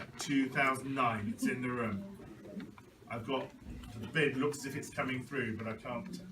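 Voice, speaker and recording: Noticeable background noise sits behind a man of medium pitch who speaks with ordinary pitch variation and long, frequent pauses. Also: moderate pace. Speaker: auctioneer. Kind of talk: auction bid calling.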